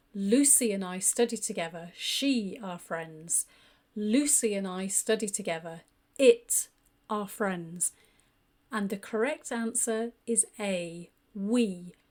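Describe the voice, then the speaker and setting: Very slowly, a woman with a British accent speaks at a medium pitch with ordinary variation, on a very clean recording with a silent background. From United Kingdom. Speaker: English teacher. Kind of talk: grammar lesson narration. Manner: clear.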